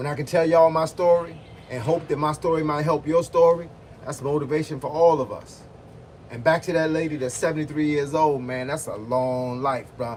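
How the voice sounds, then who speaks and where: A somewhat breathy man with a fairly high pitch, talking at a fairly quick pace. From Virginia (Hampton). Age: 50s. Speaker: boxing and fitness coach. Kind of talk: livestream chat with viewers. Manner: animated.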